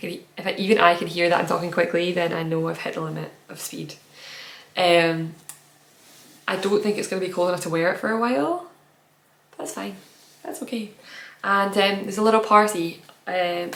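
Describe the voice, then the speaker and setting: A woman talks at a fairly quick pace and fairly low pitch, with ordinary pitch variation and big swings in loudness. She leaves long, frequent pauses, and audible room echo surrounds her. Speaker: knitting podcaster. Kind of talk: casual podcast monologue. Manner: fast.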